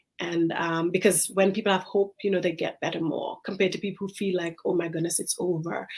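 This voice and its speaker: In an Antiguan accent, a woman speaks at a medium pitch. She talks at a very fast pace with hardly any pauses. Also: fairly even intonation. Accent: Caribbean (Antiguan). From Antigua, Caribbean. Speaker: infectious disease physician. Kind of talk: casual interview chat. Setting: live-streamed talk show.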